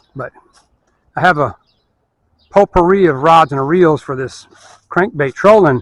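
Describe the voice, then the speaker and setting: This man talks at a moderate pace with ordinary pitch variation, and the sound is dry and close with no echo. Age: 60s. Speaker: fishing video maker. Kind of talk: casual tutorial. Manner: relaxed, rambling pace with fillers.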